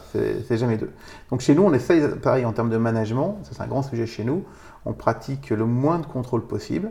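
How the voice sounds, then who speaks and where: Speaking at a fairly quick pace, a man uses lively intonation and vocal fry. His pitch is medium. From Vosges, eastern France. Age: 40s. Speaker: business owner. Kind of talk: interview. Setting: host's home.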